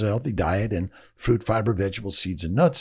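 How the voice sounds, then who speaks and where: A man with an American accent and vocal fry, in a very clean recording against a silent background. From Los Angeles, US West Coast. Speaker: fertility doctor. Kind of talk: podcast interview. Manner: loud; animated.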